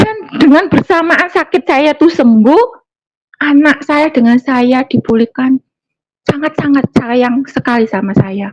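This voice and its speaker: With a high pitch and lively intonation, a woman speaks at a fairly slow pace in a dry, close sound with no echo. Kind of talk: testimony. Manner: halting, many fillers.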